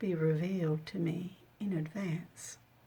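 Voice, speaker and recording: A woman speaks with an Australian accent in a somewhat breathy voice. The recording is very clean, with a silent background. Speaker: missionary. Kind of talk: audiobook reading of own memoir.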